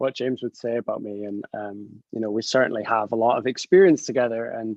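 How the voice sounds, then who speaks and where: The voice carries a Scottish accent and moves at a fairly quick pace. The sound is dry and close, with no echo. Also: man. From northern Scotland. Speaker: chemist. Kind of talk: presentation talk. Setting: video call. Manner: halting.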